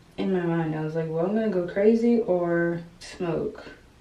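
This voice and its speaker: A woman speaks fairly slowly at a fairly low pitch. Audible room echo and noticeable background noise surround her voice. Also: big swings in loudness. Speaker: lifestyle vlogger and stay-at-home mother. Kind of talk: casual get-ready-with-me chat. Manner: animated.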